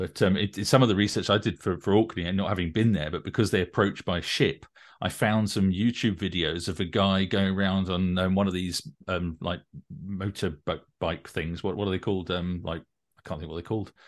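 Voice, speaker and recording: A man talks at a fairly quick pace in a very deep, low voice. His intonation stays fairly even against a quiet background. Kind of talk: casual interview chat.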